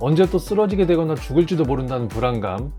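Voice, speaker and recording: A man talks at a very fast pace with lively intonation while music plays in the background. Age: 40s. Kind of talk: personal story talk to camera.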